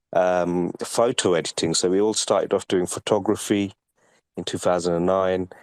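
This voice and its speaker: Man with an English accent, very deep, low pitch, monotone, flat intonation and a moderate pace, on a very clean recording with a silent background and a dry, close sound with no echo. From UK. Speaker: NFT collector and artist. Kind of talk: interview.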